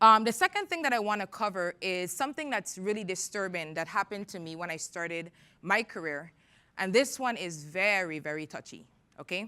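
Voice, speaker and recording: In a Caribbean accent, a woman with a medium pitch and a bright, sharp tone talks at a fairly quick pace with lively intonation and big swings in loudness, on a very clean recording with a silent background. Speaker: tech entrepreneur and conference speaker. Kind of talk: conference talk. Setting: stage with audience. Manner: animated.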